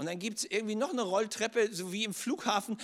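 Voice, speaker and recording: The speaker talks at a fairly quick pace with ordinary pitch variation, captured in a very clean recording against a silent background. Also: man. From northern Germany (Schleswig-Holstein). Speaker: pastor. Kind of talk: sermon.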